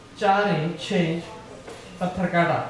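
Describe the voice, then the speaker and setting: Male speech amid light background noise and audible room echo. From Hyderabad, India. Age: old. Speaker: joke teller at party. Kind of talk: joke telling at a private party. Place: home room.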